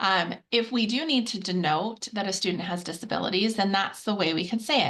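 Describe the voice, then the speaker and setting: Her pitch medium and its variation ordinary, the woman talks. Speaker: webinar presenter. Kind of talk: webinar presentation. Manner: fast.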